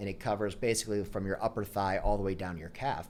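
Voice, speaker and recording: A man with a fairly low pitch and an American accent. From Pittsburgh, Pennsylvania, US. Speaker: chiropractor. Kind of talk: interview storytelling. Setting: podcast interview. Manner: conversational, animated.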